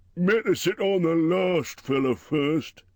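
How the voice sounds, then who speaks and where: Fairly slow, high-pitched male speech in a put-on character voice. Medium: read story. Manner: rough, common speech.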